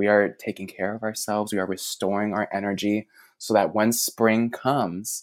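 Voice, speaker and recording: This man has a fairly low pitch and an American accent. He speaks at a moderate pace. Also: very clean recording, silent background. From US Midwest, Chicago. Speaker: gardener and author. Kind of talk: casual interview. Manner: animated.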